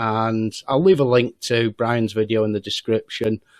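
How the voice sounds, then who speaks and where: A medium-pitched man with an English accent at a moderate pace. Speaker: YouTuber. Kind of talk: vlog monologue. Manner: hesitant.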